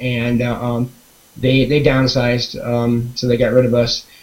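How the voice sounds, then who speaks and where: Delivered at a moderate pace, the speech comes with noticeable background noise. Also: man. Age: 40s. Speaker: webinar participant telling his story. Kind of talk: personal testimony. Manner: halting, many fillers and restarts.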